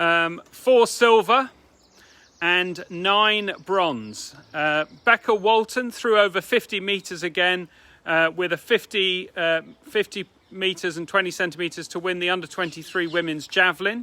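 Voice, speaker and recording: Over a very clean recording with a silent background, a man talks at a fairly slow pace in a high pitch, with ordinary pitch variation. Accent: English. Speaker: athletics club president. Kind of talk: club meeting announcements. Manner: subdued; hesitant.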